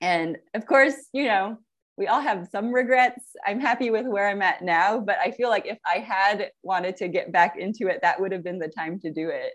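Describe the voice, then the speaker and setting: Medium pitch from a woman, ordinary pitch variation, and a moderate pace. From San Francisco Bay Area, California. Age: 40s. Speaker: prosthetist and amateur triathlete. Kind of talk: interview. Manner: laughs often.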